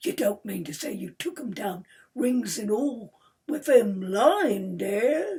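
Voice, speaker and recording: Using a put-on character voice, a woman speaks raspily at a fairly slow pace, her fairly high pitch swinging very widely and her loudness rising and falling sharply. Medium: read story. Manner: sly, haggling.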